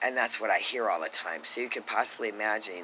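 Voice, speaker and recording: Noticeable background noise accompanies a man speaking in an animated tone. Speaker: vlogger. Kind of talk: rant. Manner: loud.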